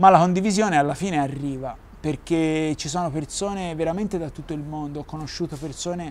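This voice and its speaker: A man with a Florentine accent, fairly high-pitched, with fairly even intonation. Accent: Florentine Italian. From Tuscany, Florence. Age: young. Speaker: adaptive surfer, wheelchair user; interview guest. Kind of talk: interview. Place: garden.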